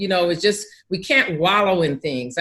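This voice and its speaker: A woman speaks in a medium pitch. Her pitch varies in an ordinary way. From Pasadena, California. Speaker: author and motivator. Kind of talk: interview answer.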